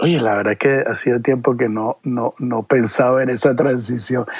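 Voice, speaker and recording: Dry and close with no echo, a man's medium-pitched voice carries fairly even intonation. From Venezuela. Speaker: television producer. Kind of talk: interview. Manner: halting, many repetitions.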